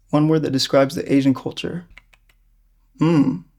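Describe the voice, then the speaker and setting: A man's dark, mellow tone moves at a moderate pace with ordinary pitch variation. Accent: American. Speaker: interviewee. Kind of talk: casual interview. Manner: chatty.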